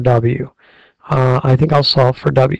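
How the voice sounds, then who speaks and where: A man talks at a fairly slow pace, his voice somewhat breathy. His intonation stays fairly even. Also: dry, close sound with no echo. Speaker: algebra teacher. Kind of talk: math tutorial. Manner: frustrated.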